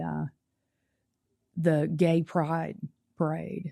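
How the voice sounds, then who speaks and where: Someone speaks in a Southern US accent against a quiet background. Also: woman. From US South, Nashville, Tennessee. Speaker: testimony guest. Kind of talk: testimony. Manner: halting, repeats words.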